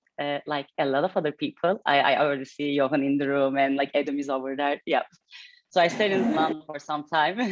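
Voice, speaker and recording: Talking at a very fast pace with a Turkish accent, a woman uses a very deep, low pitch and ordinary pitch variation. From Turkey, Istanbul. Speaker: head of design. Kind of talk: fireside chat interview. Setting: hybrid event with live audience.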